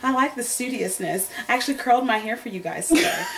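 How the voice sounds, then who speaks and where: Over noticeable background noise, a woman speaks in a high voice that swings very widely in pitch. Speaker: web video host, dating advice. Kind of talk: casual chat. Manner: loud; trying to speak softly.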